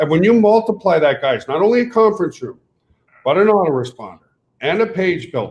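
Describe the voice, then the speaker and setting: The speaker sounds animated, with a French Canadian accent. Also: man. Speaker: network marketing company owner. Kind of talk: webinar pitch. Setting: webinar.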